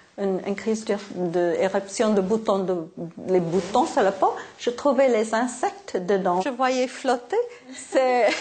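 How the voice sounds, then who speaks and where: A woman speaks at a very slow pace, her pitch fairly high. Noticeable background noise sits behind her. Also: ordinary pitch variation. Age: 60s. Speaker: patient. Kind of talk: interview. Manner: hesitant.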